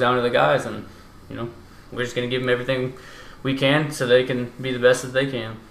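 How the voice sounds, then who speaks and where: A man's medium-pitched voice at a very fast pace, amid noticeable background noise and audible room echo. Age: 20s. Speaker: college baseball coach. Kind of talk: casual chat.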